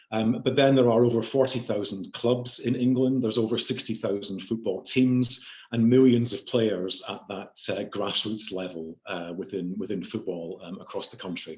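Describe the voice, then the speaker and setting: Speaking at a moderate pace with a slight Scottish accent, a man uses a medium pitch and ordinary pitch variation, with big swings in loudness. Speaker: chief information officer. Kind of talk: panel discussion. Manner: hesitant, many fillers.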